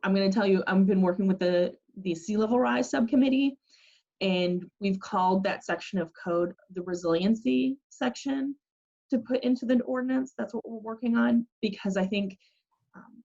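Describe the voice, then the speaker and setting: A woman's somewhat breathy voice with a dark, mellow tone and very wide pitch swings, in a dry, close sound with no echo. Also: medium pitch for a woman, moderate pace. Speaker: city planning staff presenter. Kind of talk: public meeting presentation.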